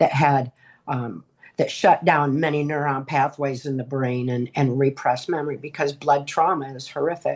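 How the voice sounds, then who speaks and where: A woman speaks with an American accent in a very deep, low voice. Her intonation stays fairly even against a quiet background. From Michigan, US. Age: 60s. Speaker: author and abuse survivor. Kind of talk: testimony.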